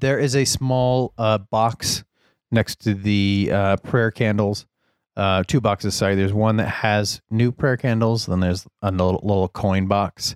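A man with a fairly low pitch and an ordinary speaking voice talks at a fairly slow pace, with fairly even intonation and very even loudness, in a dry, close sound without echo and a very clean recording over a silent background. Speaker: game master. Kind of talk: tabletop roleplaying game session.

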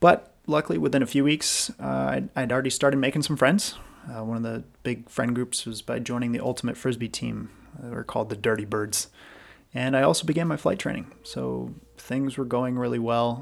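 Speaking at a fairly quick pace, a man with an American accent uses a medium pitch. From US, Washington state then Western Massachusetts. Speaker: airline pilot and podcast host. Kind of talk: solo podcast monologue. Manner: hesitant, frequent repetitions.

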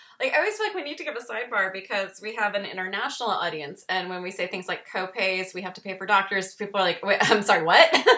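A woman at a very fast pace, medium pitch, and ordinary pitch variation, with big swings in loudness, hardly any pauses, and noticeable background noise. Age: 40s. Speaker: podcast host. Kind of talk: casual chat; show outro. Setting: video call.

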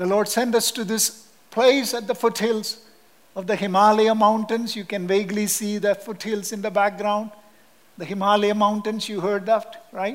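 Speaking in a Kerala accent, a man has a high pitch and monotone, flat intonation. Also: moderate pace. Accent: Indian (Kerala) English. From Kerala, southern India. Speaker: missionary Bible teacher. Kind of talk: sermon. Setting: church.

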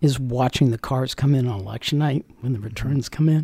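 A man with an American accent talks at a moderate pace in an unremarkable speaking voice with ordinary pitch variation. The recording is very clean with a silent background and a dry, close sound with no echo. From Northern Virginia, US. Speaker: county election director. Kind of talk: interview. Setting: studio.

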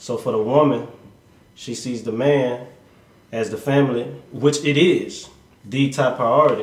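In a somewhat breathy, medium-pitched voice, a man talks at a fairly slow pace with fairly even intonation and long, frequent pauses. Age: 30s. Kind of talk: casual chat.

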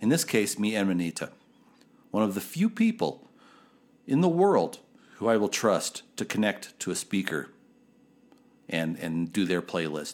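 Speaking at a moderate pace with lively intonation, a man with a fairly low pitch leaves long, frequent pauses on a very clean recording with a silent background. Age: 50s. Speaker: podcast host. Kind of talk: casual monologue.

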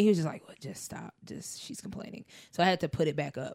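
A woman speaks very fast in an animated tone, her pitch swinging very widely, with vocal fry. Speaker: podcast co-host. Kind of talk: casual chat. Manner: animated, joking.

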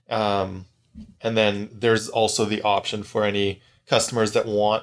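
The intonation is monotone and flat, on a very clean recording with a silent background. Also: man. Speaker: podcast host. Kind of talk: casual chat. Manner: halting.

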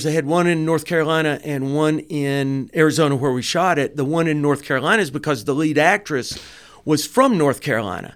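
A fairly high-pitched man with a Southern US accent at a fairly quick pace, ordinary pitch variation, on a very clean recording with a silent background. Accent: Southern American. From US South, Dalton, Georgia. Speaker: film director and producer. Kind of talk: casual interview chat. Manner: animated.

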